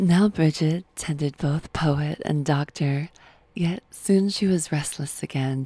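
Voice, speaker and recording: A woman speaks at a very slow pace in a very deep, low, somewhat breathy voice with a dark, mellow tone and ordinary pitch variation. The recording is very clean, with a silent background. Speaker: podcast host reading a story. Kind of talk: fairy-tale narration, reading a myth aloud. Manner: storyteller's gentle, lilting cadence with measured pauses.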